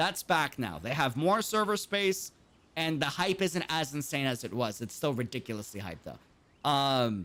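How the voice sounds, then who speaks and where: A man's fairly high voice with an American accent, vocal fry, a bright, sharp tone, very wide pitch swings and a moderate pace, on a very clean recording with a silent background. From New York City. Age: 20s. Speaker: gaming streamer. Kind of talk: live stream chat.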